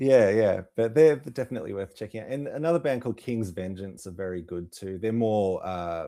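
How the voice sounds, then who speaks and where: In an Australian accent, a man speaks at a fairly quick pace with hardly any pauses, his dark, mellow voice fairly low in pitch. His intonation is lively, his loudness swings widely, and the recording is very clean with a silent background. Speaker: music promoter. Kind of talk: interview.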